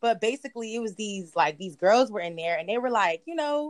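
Using an ordinary speaking voice, a woman with an American accent speaks at a medium pitch and moderate pace with lively intonation, in a dry, close sound with no echo. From US Mid-Atlantic, Prince George's County, Maryland. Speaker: visual artist. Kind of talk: casual chat.

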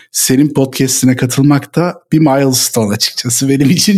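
A man speaks at a moderate speed. It is an ordinary speaking voice, with ordinary pitch variation. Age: 30s. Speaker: tech company founder. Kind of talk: casual chat.

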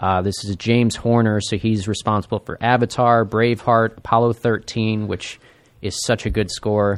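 In a very clean recording with a silent background, a man with an American accent uses a plain, everyday voice at medium pitch and a moderate pace. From Buffalo, New York, then US Midwest. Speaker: comedy network tech worker. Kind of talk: casual chat. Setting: studio.

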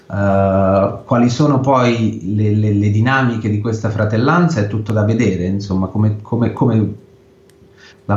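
Audible room echo surrounds a man speaking at a fairly low pitch with fairly even intonation. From Italy. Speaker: photojournalist. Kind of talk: interview. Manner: halting.

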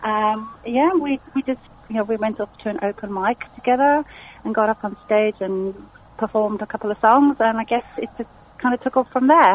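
A woman with a slight South African accent at a moderate pace, fairly high pitch, and ordinary pitch variation, over noticeable background noise. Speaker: musician. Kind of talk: radio interview. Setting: phone call.

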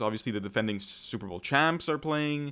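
A man with a Montreal accent at a fairly quick pace, intonation lively, in a very clean recording with a silent background. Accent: Montreal Canadian English. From Canada, Montreal. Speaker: podcast co-host. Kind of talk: casual chat.

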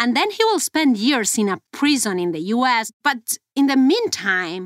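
A woman with a Mexican accent at a fairly slow pace, with very wide pitch swings, in a dry, close sound with no echo and a very clean recording over a silent background. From Mexico. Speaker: investigative journalist. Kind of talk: investigative podcast conversation.

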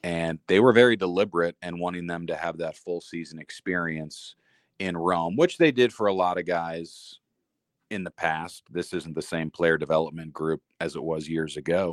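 Recorded very cleanly against a silent background, a man with a very deep, low pitch talks at a moderate pace in a dry, close sound with no echo. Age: 30s. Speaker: minor league baseball play-by-play announcer. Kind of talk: interview.

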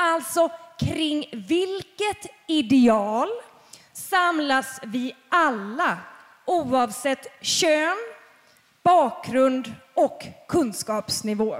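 A woman with a high voice speaks at a very slow pace, her pitch swinging very widely. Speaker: podcast host moderating a panel. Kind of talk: live panel discussion. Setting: stage with audience.

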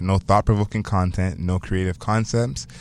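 With an animated, confident tone, a man talks at a fairly quick pace in a very deep, low voice. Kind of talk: radio DJ patter: slick, punchy hype-man intro with catchphrases, then interview banter. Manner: animated, confident, upbeat showman delivery with playful swagger.

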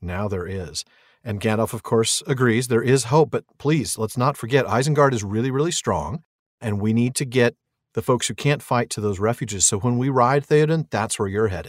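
Heard dry and close with no echo, a plain, everyday voice talks at a moderate pace with ordinary pitch variation. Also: man, medium pitch for a man. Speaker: podcast co-host. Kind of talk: casual chat.

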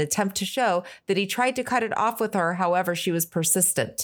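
A woman with an unremarkable speaking voice talks at a fairly quick pace with lively intonation and medium pitch, on a very clean recording with a silent background. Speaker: podcast co-host and producer. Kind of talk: casual chat.

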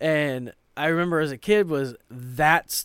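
A man speaks at a very slow pace. His pitch is fairly high and his intonation fairly even. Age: 30s. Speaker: podcast host. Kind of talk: casual chat.

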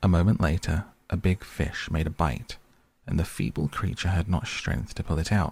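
A man's very deep, low, somewhat breathy voice at a moderate pace, on a very clean recording with a silent background. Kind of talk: fairy-tale narration, bedtime story reading aloud.

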